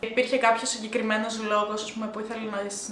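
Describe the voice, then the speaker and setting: Audible room echo and noticeable background noise surround a woman speaking with a fairly high pitch. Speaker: YouTuber. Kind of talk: casual interview.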